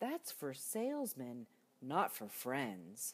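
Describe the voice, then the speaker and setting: Putting on a character voice, a woman rumbles at a very deep, low pitch. Her pace is very slow. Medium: read story. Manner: rumbling, blustery.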